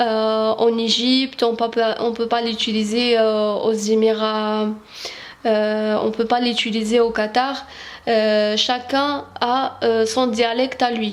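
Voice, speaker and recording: A woman with a fairly high pitch speaks at a very slow pace, monotone and flat in intonation. Her loudness stays very even, with audible room echo around her. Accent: Algerian. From Algeria. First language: Arabic (speaking French). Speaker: Arabic language teacher. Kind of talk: tutorial. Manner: halting, many hesitations.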